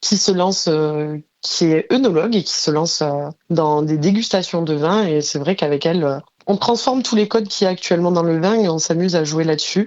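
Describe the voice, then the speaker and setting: A woman with a fairly low pitch talks at a fairly quick pace, with ordinary pitch variation. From southern France, Tarn (Mazamet). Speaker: freelance graphic designer and entrepreneur. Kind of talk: podcast interview. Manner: frequent hesitations (euh).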